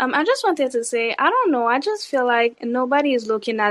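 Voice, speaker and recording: The speaker is a woman with a high pitch. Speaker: caller. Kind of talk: casual chat. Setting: online live audio room.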